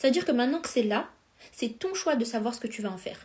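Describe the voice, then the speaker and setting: A woman speaks in an animated tone at a high pitch. Her intonation is lively. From France. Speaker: life coach. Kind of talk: live stream coaching talk. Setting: Instagram live stream. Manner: fast.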